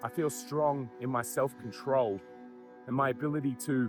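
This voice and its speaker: With music in the background, a man with an Australian accent speaks at a medium pitch. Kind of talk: personal story to camera. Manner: candid, casual.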